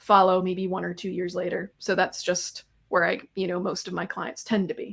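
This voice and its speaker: At a moderate pace, a woman talks at medium pitch in an American accent. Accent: somewhat American. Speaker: tax consultant. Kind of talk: webinar interview.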